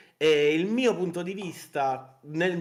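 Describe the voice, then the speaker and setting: A man with a fairly high pitch. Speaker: indie game developer and artist, guest in interview. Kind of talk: interview answer, casual conversational talk. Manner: fast, expressive, passionate, rambling.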